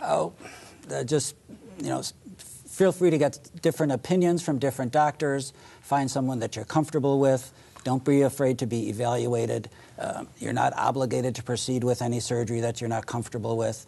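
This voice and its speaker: An ordinary speaking voice from a man, medium in pitch, with ordinary pitch variation and a fairly quick pace. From Chicago area, US. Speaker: orthopedic surgeon. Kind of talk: interview.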